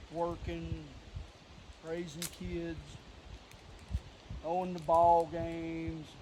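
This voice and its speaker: Amid audible room echo, a man with an Appalachian accent talks in a relaxed tone at a very slow pace, taking long, frequent pauses. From West Virginia, Clarksburg. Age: 50s. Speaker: vlogger. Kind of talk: casual vlog talk. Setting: outdoors.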